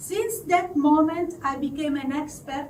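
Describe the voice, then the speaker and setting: A high-pitched woman's voice in an Italian accent, ordinary pitch variation, noticeable background noise behind it. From southern Italy. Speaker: confidence coach. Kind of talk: live storytelling to an audience.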